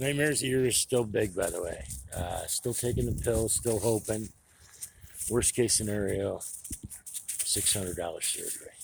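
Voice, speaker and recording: Music plays in the background of this clip. The speech comes at a moderate pace with long, frequent pauses. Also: man. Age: 60s. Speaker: foundry worker giving life advice vlog. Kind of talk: casual monologue vlog. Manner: casual, profane.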